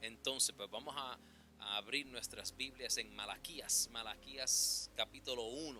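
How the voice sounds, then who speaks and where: A man with a non-native accent speaks at a fairly slow pace while music plays in the background. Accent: non-native Spanish, imperfect pronunciation. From New York City, the Bronx. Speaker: preacher. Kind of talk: sermon. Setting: church. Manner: halting, many fillers.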